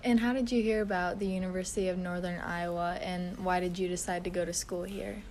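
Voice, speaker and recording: With audible room echo, a woman talks very fast with hardly any pauses, her medium-pitched voice keeping fairly even intonation. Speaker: student interviewer. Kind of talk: interview.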